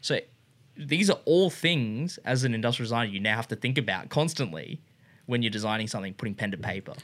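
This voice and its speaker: In a very clean recording with a silent background, a man with an Australian accent talks very fast in a medium pitch with lively intonation. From Australia (Brisbane from grade seven). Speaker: industrial designer and motorcycle shop co-founder. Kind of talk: casual interview chat. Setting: studio room.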